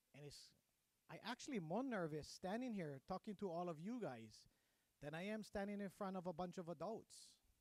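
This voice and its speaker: In a Hawaiian accent, a man talks with lively intonation at a high pitch. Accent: Hawaii local English. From Hawaii, Oahu west side. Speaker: career day speaker, business owner, Navy veteran. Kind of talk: motivational speech. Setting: school assembly with PA system.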